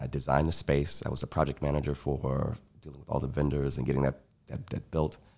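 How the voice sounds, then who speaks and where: A man with an American accent talks at a very fast pace in a very deep, low voice with vocal fry. His intonation is fairly even, while his loudness swings widely. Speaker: taproom hospitality staff and artist. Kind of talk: casual chat. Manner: smooth.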